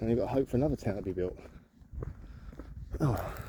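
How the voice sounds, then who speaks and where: A man speaks at a moderate pace with a London accent. His words come out mumbled. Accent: London accent, drops H's. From southeast London. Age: 40s. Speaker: vlogger. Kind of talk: casual walking vlog. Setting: outdoors. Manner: rambling, mumbling.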